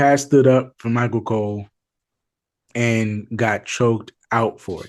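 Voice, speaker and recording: Against a quiet background, a man speaks fairly slowly at medium pitch with fairly even intonation, in an ordinary speaking voice. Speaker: wrestling podcast co-host. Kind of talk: casual chat.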